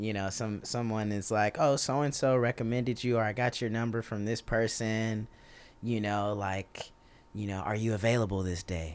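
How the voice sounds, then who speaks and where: With a Texas accent, a man talks at a moderate pace in a fairly low pitch and fairly even intonation. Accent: Southern US (Texas). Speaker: drummer. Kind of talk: casual chat.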